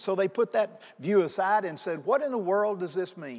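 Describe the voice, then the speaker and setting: A man's high-pitched voice with lively intonation. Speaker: pastor. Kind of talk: sermon. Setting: church. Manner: animated; loud.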